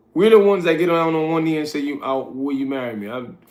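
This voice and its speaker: A man speaks in a relaxed tone with audible room echo. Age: 40s. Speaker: livestreamer and street interviewer. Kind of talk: casual livestream chat. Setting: live stream at midnight. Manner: relaxed, conversational.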